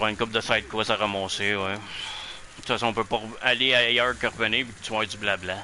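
A man speaks at a fairly quick pace in a fairly low, monotone voice with flat intonation. Noticeable background noise sits behind him. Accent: Quebec. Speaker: gaming streamer. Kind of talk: casual gameplay chat.

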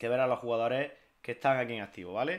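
Against a quiet background, a man talks fairly quickly in a flat monotone. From Spain, Jaén (Andalusia). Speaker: gaming YouTuber. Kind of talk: video game tutorial. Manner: casual, with many fillers. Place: home room.

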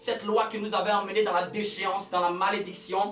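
A man's voice with audible room echo and faint background music. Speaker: pastor. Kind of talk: sermon. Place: church. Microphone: camera far.

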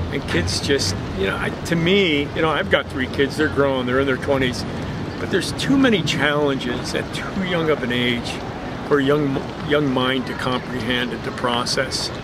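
Over loud background noise, a man speaks at a moderate pace with ordinary pitch variation. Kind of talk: interview answer. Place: street.

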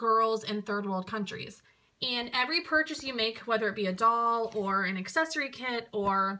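A loud woman's voice, bright and sharp in tone, fairly high in pitch, at a moderate pace with ordinary pitch variation. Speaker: doll reviewer. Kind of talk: product review. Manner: loud breathing.

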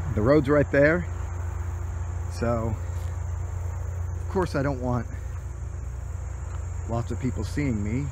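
Noticeable background noise accompanies a man's very deep, low voice, which makes very wide pitch swings in a dry sound with no echo. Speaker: urban explorer vlogger. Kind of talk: casual vlog chat. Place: open country. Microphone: phone near.

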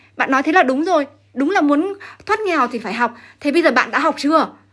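Over a quiet background, a woman speaks with lively intonation. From Vietnam. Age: 40s. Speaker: sewing and fashion design teacher; fashion design teacher. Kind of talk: livestream talk to viewers. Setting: classroom studio. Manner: frequent fillers and laughter. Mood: earnest, motivational. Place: workshop.

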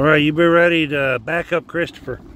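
With faint background noise behind him, a man talks fairly quickly in a fairly high, fairly bright voice with fairly even intonation.

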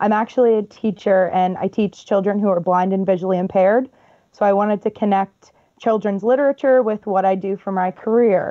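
A woman's normal speaking voice with an American accent, medium pitch and fairly even intonation. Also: fairly quick pace. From Baltimore, US. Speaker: guest trivia game host. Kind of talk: reading trivia questions.

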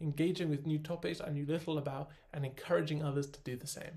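A man speaks at a very fast pace with a southern English accent, his pitch fairly high and his tone dark and mellow. His voice is somewhat breathy, with fairly even intonation. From southern England (Oxford). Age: 20s. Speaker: university student. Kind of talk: scripted application video. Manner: formal. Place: home room. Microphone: phone near.

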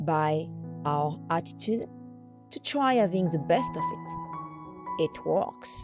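Over music in the background, a woman with a Parisian accent speaks at a very slow pace in a warm, upbeat tone. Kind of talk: spoken anniversary greeting message.

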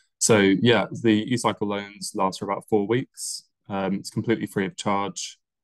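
Against a quiet background, a man with a plain, everyday voice speaks at a fairly low pitch and a moderate pace with fairly even intonation. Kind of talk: presentation. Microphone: video call.

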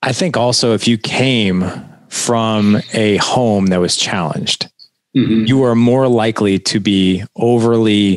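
Recorded dry with no echo against a quiet background, a man talks at a fairly low pitch with fairly even intonation. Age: 40s. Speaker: podcast host. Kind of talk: casual interview. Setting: video call. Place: home room. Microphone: headset.

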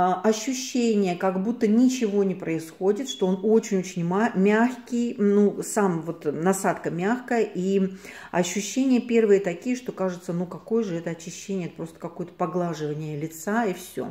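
A woman at a moderate pace with ordinary pitch variation, audible room echo and a quiet background. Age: 50s. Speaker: cosmetics consultant. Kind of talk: product review to camera. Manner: casual, chatty. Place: home room. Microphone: phone near.

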